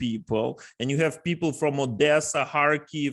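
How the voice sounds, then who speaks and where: In a very clean recording with a silent background, a man with a Russian accent speaks at a fairly high pitch and moderate pace with ordinary pitch variation. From Ukraine. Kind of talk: panel discussion.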